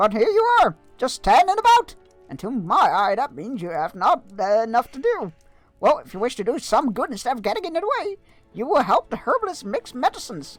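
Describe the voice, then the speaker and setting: A man puts on a character voice with very wide pitch swings. He talks at a fairly quick pace over faint background music. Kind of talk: stern, brisk, scolding.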